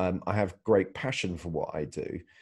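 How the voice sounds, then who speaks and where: A man with a British accent and a very deep, low pitch, with ordinary pitch variation, against a quiet background. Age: 30s. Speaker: mobile filmmaker. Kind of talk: interview. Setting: video call. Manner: halting, with many fillers.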